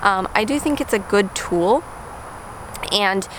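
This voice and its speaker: A woman with a medium pitch and ordinary pitch variation speaks over noticeable background noise. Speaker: lifestyle vlogger. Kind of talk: casual vlog talk to camera. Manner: fast; many fillers like um and uh.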